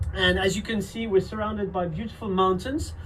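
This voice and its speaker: A speaker with a French accent is heard with audible room echo and noticeable background noise. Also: man. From France. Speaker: wine estate owner's family member. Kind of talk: pre-recorded video presentation. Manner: hesitant, many fillers.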